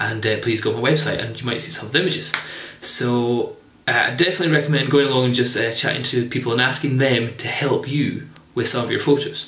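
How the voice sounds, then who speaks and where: Over light background noise and audible room echo, a man talks at a very fast pace with fairly even intonation. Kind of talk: tutorial. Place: home room. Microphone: camera far.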